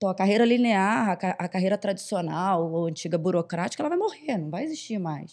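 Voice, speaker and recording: A woman speaks at a moderate pace in a dark, mellow tone. The background is quiet. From Rio de Janeiro, Brazil. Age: 40s. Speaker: HR executive. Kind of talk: podcast interview. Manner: hesitant, many fillers.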